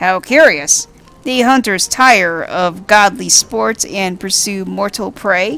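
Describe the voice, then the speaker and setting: Doing a put-on character voice, a woman with a medium pitch speaks at a fairly slow pace over faint music in the background. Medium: game stream. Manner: archaic, stilted, repetitive phrasing.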